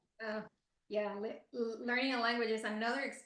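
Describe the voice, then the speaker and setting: Recorded with audible room echo, a woman with a Spanish accent and a fairly high pitch speaks at a moderate pace. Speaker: podcast host. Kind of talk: casual interview chat.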